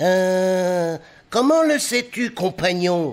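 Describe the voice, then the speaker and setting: A man puts on a character voice, pitched high, and speaks at a very slow pace. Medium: read story.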